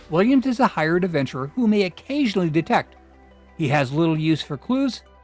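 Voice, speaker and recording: With music in the background, a man talks at a fairly quick pace in a high voice that makes very wide pitch swings. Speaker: YouTube host and narrator. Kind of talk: documentary narration.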